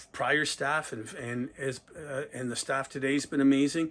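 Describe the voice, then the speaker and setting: A man speaks at a moderate pace. His pitch is fairly high. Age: 60s. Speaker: retiring sporting goods store owner. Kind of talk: interview. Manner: halting.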